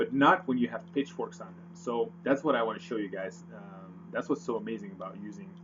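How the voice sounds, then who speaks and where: Hardly pausing, a man speaks with vocal fry at a fairly high pitch, his pitch swinging very widely and his loudness rising and falling sharply. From Netherlands. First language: Dutch. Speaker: forex trader. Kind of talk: tutorial. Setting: screen recording with webcam. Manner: hesitant, many fillers.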